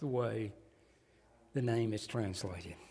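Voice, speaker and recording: A man with a Southern US accent at a moderate pace. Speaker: pastor. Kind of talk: sermon. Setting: church.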